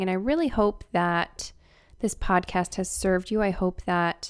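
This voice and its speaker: A quiet woman at a moderate pace. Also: very clean recording, silent background. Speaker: podcast host. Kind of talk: casual podcast monologue.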